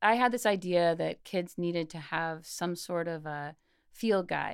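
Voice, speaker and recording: In a very clean recording with a silent background, an unremarkable speaking voice moves through ordinary pitch variation. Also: woman. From US South, Mississippi. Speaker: school principal and former teacher. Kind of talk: interview.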